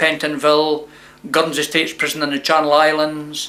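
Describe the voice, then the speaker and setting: A man with a southern Scottish accent, fairly high pitch and moderate pace, over noticeable background noise. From Scotland, Dumfries. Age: 60s. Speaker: former prisoner sharing life story. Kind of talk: testimony.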